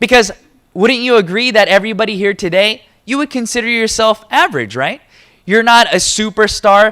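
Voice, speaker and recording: A man with an American accent speaks at a fairly quick pace and a high pitch. His voice is raised and projected, with a bright, sharp tone. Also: ordinary pitch variation. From United States. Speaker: motivational business speaker. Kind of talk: seminar talk. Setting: stage with audience.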